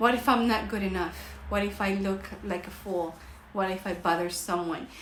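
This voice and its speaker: An animated tone with ordinary pitch variation, amid audible room echo and noticeable background noise. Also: woman. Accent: Costa Rican. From Costa Rica. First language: Spanish. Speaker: life coach. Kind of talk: livestream motivational talk. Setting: livestream.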